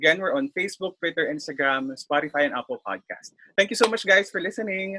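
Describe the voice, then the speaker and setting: A man's high, bright and sharp voice, raised and projected, at a very fast pace, with a dry, close sound and no echo. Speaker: podcast co-host. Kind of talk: casual interview chat.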